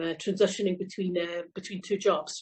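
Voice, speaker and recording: The speaker talks at a very fast pace with a Scottish accent. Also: woman. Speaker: company CEO. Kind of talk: panel discussion.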